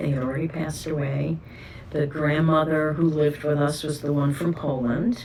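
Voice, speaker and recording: With a New York accent, a woman speaks at a very deep, low pitch over noticeable background noise. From New York City, the Bronx. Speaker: oral history interviewee. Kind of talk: oral history interview.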